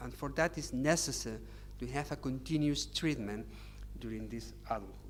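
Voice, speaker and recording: A man with a Catalan accent, in audible room echo. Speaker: psychiatrist. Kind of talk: lecture. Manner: halting.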